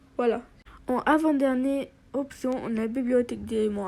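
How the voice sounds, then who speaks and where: Speaking at a fairly slow pace, a woman with a high pitch has a dark, mellow tone and monotone, flat intonation. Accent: Arabic. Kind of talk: app tutorial voiceover.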